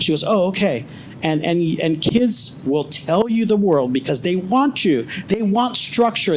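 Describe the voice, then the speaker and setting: Over noticeable background noise, a man with a high pitch talks in an animated tone with lively intonation. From grew up abroad, came to the US as a child. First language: not English. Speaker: panelist, former law enforcement. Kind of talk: panel discussion.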